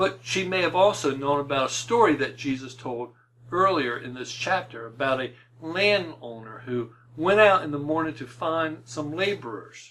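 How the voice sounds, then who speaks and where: A man with an unremarkable speaking voice, fairly high in pitch, with lively intonation and a moderate pace. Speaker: preacher. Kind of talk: sermon.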